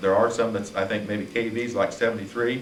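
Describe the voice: At a fairly quick pace, a man talks at a fairly low pitch with little pitch movement and audible room echo.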